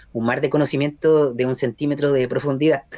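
A man with a plain, everyday voice talks fairly quickly at medium pitch, the sound dry and close with no echo. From Chile, Concepción area. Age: 40s. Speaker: journalist. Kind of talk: radio interview.

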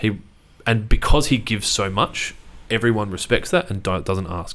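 Speaking at a fairly quick pace with an Australian accent, a man with a fairly low pitch is heard on a very clean recording with a silent background. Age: 30s. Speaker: business owner. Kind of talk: interview. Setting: studio.

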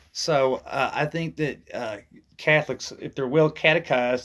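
Someone with a normal speaking voice talks at a moderate pace with ordinary pitch variation. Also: man. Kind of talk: casual interview conversation.

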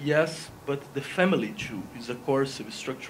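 A man with a Portuguese accent at a fairly slow pace, ordinary pitch variation, noticeable background noise behind him. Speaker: philosophy professor. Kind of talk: debate. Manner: halting.

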